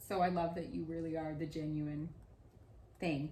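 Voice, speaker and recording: A woman's fairly low, animated voice at a moderate pace, with audible room echo. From Australia. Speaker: podcast host. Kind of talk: casual interview chat.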